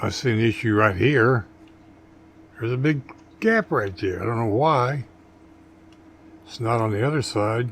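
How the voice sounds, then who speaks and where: A somewhat breathy man at a moderate pace, with long, frequent pauses. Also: medium pitch for a man, ordinary pitch variation. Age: 60s. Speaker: model car hobbyist. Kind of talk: tutorial. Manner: casual, folksy.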